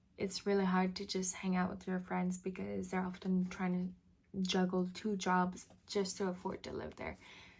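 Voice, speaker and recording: Speaking in a Quebec accent, a woman sounds somewhat breathy and keeps a moderate pace. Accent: Canadian French-accented English. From French Canada. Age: 20s. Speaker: vlogger. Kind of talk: casual vlog talk to camera.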